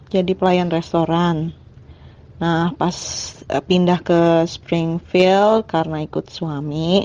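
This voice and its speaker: This woman speaks. Her pace is very slow. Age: 40s. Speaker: hospital worker. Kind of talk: testimony. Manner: halting.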